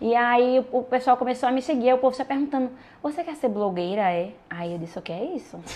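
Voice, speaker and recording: A woman speaks at a fairly quick pace with lively intonation. Her voice is high-pitched with a dark, mellow tone. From Pernambuco backlands, Brazil (Ouricuri). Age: 20s. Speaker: social media influencer. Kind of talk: casual chat.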